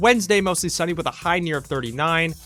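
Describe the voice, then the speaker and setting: Over music in the background, a man with an American accent speaks in a high, upbeat voice with ordinary pitch variation. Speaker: college radio DJ. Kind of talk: late-night radio DJ show. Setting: radio studio. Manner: casual, upbeat.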